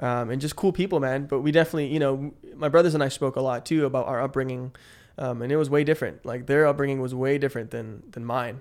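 A man with a Californian accent talks at a very fast pace. His intonation is fairly even. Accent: Californian American English. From San Francisco Bay Area, with childhood in the Philippines. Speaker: guest telling life story. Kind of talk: casual interview chat.

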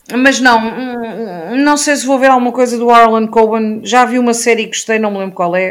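This woman has an ordinary speaking voice, fairly high in pitch, with fairly even intonation. She keeps a moderate pace with hardly any pauses. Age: 40s. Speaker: YouTube book reviewer. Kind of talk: casual chat.

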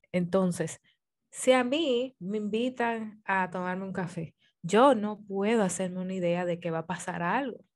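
In an ordinary speaking voice, a woman talks at a fairly slow pace with medium pitch and ordinary pitch variation against a quiet background. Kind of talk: casual chat.

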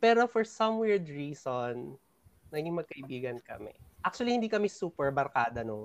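A man talks at a moderate pace in a fairly high voice. His pitch swings very widely and his loudness shifts in big swings. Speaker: podcast host. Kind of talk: casual chat.

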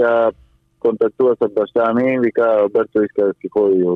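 Over music in the background, a man of medium pitch speaks at a moderate pace with a Spanish accent. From Cuba. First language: Spanish (speaking Bulgarian). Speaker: retro car enthusiast. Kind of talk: interview. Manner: halting.

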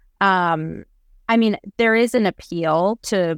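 An American accent from a woman, the sound dry and close without any echo. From US Pacific Northwest (Seattle). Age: 20s. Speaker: law student. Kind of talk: interview.

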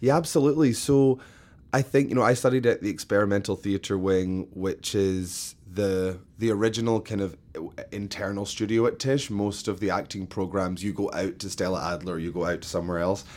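Speaking at a fairly quick pace with a Scottish accent, a man has a fairly low pitch and ordinary pitch variation, recorded very cleanly against a silent background. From Scotland, Glasgow. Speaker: theatre-maker and arts educator. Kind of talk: interview.

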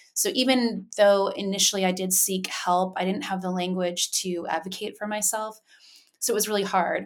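An American accent at a moderate pace with fairly even intonation. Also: woman, medium pitch for a woman. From Asia, largely Japan, with US parents. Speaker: mentoring organization founder. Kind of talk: interview. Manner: halting, many fillers.

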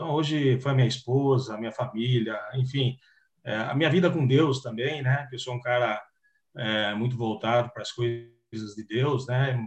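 Fairly even intonation from a man with a somewhat breathy voice. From Piracicaba, interior of São Paulo. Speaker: retired footballer. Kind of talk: interview.

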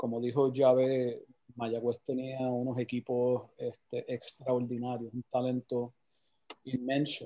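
The sound is dry and close with no echo. A man speaks very slowly at a medium pitch, in a monotone, flat delivery. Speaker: water polo coach. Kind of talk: casual interview.

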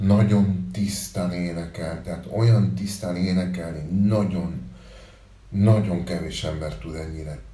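Very slow and very deep, a man with a Spanish accent speaks with ordinary pitch variation amid audible room echo and noticeable background noise. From Uruguay. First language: Spanish (speaking Hungarian). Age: 40s. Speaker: musician, band frontman. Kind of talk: casual interview.

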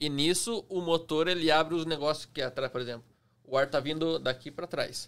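This man has a plain, everyday voice, pitched fairly high, and he talks at a fairly quick pace with fairly even intonation. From Curitiba, Paraná, southern Brazil. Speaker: airplane pilot. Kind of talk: casual chat.

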